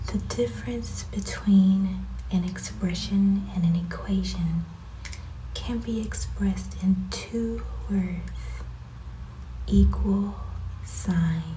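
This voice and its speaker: Soft-spoken delivery at a very slow pace, with long, frequent pauses and noticeable background noise. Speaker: math tutor. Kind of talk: ASMR math lesson. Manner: soft-spoken, relaxing.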